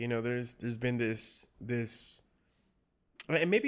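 On a very clean recording with a silent background, a man with a Spanish accent speaks at medium pitch. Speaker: podcast host. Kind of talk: casual chat. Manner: halting, many repeated words.

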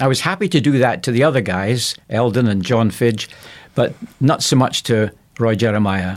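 A man with a Scottish accent talks at a moderate pace and a medium pitch. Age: 70s. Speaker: pastor. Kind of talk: radio interview.

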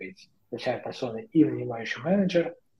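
A somewhat breathy man at a moderate pace. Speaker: engineering manager. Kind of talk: casual chat. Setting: video call.

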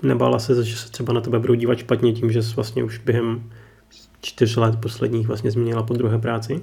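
With audible room echo, a man speaks at a fairly quick pace in a medium pitch with monotone, flat intonation. His tone is dark and mellow, and somewhat breathy. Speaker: podcast host. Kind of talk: interview.

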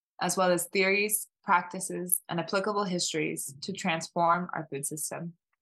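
With an American accent, a woman speaks at a moderate pace in a bright, sharp tone, her fairly low pitch held in fairly even intonation. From Oakland, California. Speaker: farmer and farming educator. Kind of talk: reading aloud.

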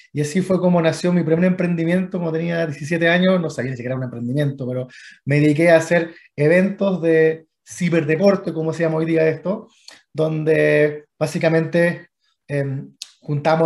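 This man has an ordinary speaking voice, pitched fairly high. He speaks at a moderate pace with fairly even intonation. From Chile. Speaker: venture capital investor. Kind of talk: interview.

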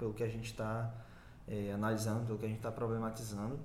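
Over noticeable background noise and audible room echo, a man speaks at a very fast pace. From interior of Bahia, Brazil. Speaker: journalism student and researcher. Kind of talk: casual interview.

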